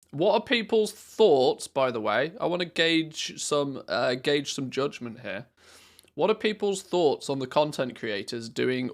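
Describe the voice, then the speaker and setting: Captured in a very clean recording with a silent background, a man with a British accent speaks fairly slowly with very wide pitch swings. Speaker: gaming streamer. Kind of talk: live stream chat. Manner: animated.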